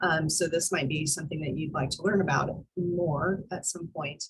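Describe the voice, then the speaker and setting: Speaking at a moderate pace, a woman uses a normal speaking voice with a fairly low pitch and fairly even intonation. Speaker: college instructor. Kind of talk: online class lecture.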